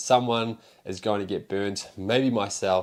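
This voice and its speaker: Speaking with a New Zealand accent, a man uses a fairly low pitch and fairly even intonation in a very clean recording with a silent background. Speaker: pokemon card seller and YouTuber. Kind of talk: casual vlog monologue. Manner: casual, rambling with fillers.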